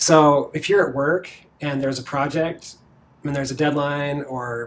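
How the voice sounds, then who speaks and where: Against light background noise, a man talks at a fairly high pitch with fairly even intonation. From Virginia, US. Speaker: marketing executive; interviewee. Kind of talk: interview. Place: office. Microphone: lapel.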